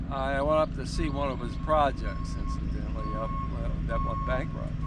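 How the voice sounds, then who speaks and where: Flat and monotone, a man speaks at a moderate pace in a very deep voice, with audible room echo and noticeable background noise. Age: 70s. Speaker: elderly passerby. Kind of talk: casual street conversation. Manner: halting.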